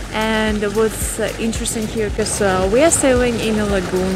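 Music plays in the background as a woman speaks at a moderate pace with ordinary pitch variation. The sound is dry, with no echo. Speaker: travel vlogger. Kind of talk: casual vlog chat. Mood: cheerful, relaxed. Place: boat. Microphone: phone near.

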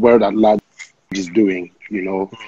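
A man talks with a dark, mellow tone. The sound is dry with no echo. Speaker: guest. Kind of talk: interview answer. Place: home room.

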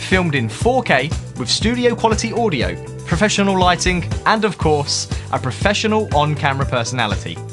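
A man with a British accent speaks at a fairly quick pace, his fairly high voice making very wide pitch swings. Clear music plays in the background. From United Kingdom. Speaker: spokesperson, voice actor. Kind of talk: promotional talk to camera. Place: studio.

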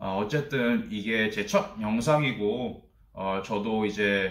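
A man at a very slow pace with ordinary pitch variation, audible room echo and a quiet background. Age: 30s. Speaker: office worker. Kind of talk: casual talk to camera. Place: home room.

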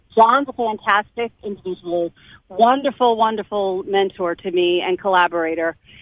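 With an American accent, a woman talks at a moderate pace in a medium pitch, an unremarkable speaking voice. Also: ordinary pitch variation. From New Jersey. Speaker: journalist and cancer survivor. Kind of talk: interview.

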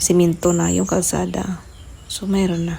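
A woman speaks at a fairly low pitch. She is soft-spoken and moves at a fairly slow pace. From Leyte, Philippines. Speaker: vlogger. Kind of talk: casual video voiceover.

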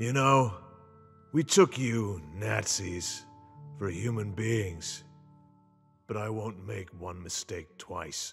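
In a cartoonish character voice, a man growls out menacing lines at a very slow pace and fairly low pitch, with long, frequent pauses, big swings in loudness and faint music in the background. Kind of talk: action-movie parody. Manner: sarcastic, cold, menacing.

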